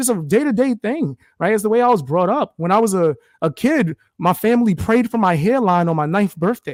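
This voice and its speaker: A man speaks at a moderate pace with a high pitch and an animated tone. The sound is dry and close with no echo, on a very clean recording with a silent background. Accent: New York. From US Northeast, New York (the Bronx). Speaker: content creator, live streamer. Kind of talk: casual interview chat.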